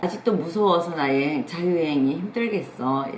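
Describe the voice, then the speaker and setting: Noticeable background noise and audible room echo around a speaking woman. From South Korea. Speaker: travel YouTuber. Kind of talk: casual advice talk. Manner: hesitant fillers.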